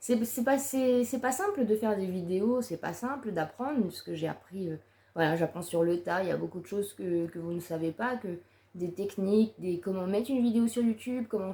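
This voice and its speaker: With noticeable background noise behind her, a woman speaks at a moderate pace in a medium pitch with ordinary pitch variation. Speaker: YouTuber. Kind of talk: personal vlog monologue. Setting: seated to-camera video. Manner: halting.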